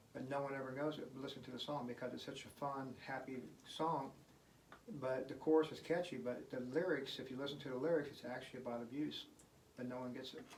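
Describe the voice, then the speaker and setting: A man's medium-pitched voice at a very fast pace, fairly even in intonation, with audible room echo. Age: 60s. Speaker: guitarist and singer-songwriter. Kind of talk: casual interview. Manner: casual, with many fillers.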